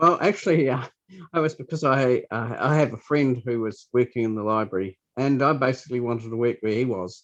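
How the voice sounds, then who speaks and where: A man talks in a New Zealand accent at a fairly quick pace. His pitch varies in an ordinary way. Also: medium pitch for a man. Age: 60s. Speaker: library scanner operator. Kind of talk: interview. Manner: halting.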